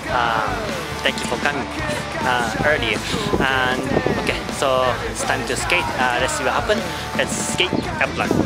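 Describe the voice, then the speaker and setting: Loud music plays in the background of this dry sound with no echo. The speech moves at a moderate pace with long, frequent pauses. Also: man. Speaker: skater vlogger. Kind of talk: casual vlog chat. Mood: cheerful, laughing often. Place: street. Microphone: phone near.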